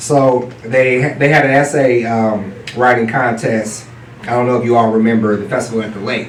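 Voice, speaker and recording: A man with an American accent and fairly even intonation, amid noticeable background noise and audible room echo. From US West Coast, East Oakland, California. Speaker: children's book author. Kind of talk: panel discussion.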